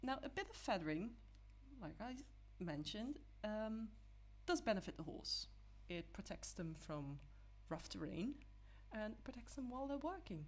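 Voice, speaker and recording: At a moderate pace, a woman with a non-native accent speaks with long, frequent pauses. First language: not English. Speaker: digital artist. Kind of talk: tutorial. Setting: live stream. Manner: halting, with many fillers.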